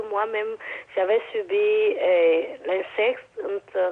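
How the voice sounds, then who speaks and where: Her pitch shifts in an ordinary way. The woman talks very slowly. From Togo. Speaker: caller. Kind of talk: testimony. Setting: phone call. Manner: halting.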